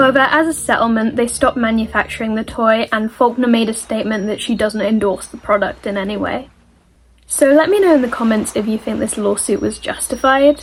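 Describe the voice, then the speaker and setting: Amid noticeable background noise, a woman with an American accent talks at a fairly quick pace with ordinary pitch variation. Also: fairly high pitch for a woman. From Britain. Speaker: YouTube commentary creator. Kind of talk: casual online commentary.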